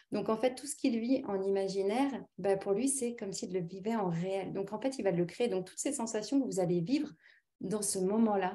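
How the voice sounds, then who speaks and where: A woman's dark, mellow, somewhat breathy voice at a moderate pace, over a quiet background. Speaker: naturopath and hypnotherapist. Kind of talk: webinar presentation and guided relaxation. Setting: video call. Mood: calm, soothing in relaxation. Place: home room. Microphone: webcam.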